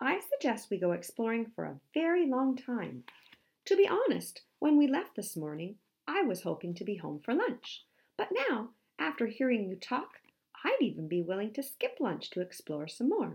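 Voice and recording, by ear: A woman's put-on character voice, fairly high in pitch with very wide pitch swings, a slightly mellow tone, a slightly husky edge and vocal fry, at a moderate pace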